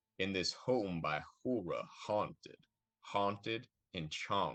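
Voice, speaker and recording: A man drawls very slowly in a put-on Southern character voice, with a Southern accent, a fairly low pitch and ordinary pitch variation. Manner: slurred drawl.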